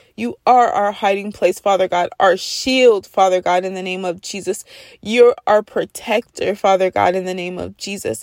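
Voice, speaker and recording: Recorded with a dry, close sound and no echo, a woman with an unremarkable speaking voice talks at a moderate pace and medium pitch. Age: 30s. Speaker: prayer podcast host. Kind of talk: fervent spontaneous spoken prayer, intercessory, repetitive invocations. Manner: earnest, pleading rhythm with constant repeated refrains; warm, heartfelt, building intensity.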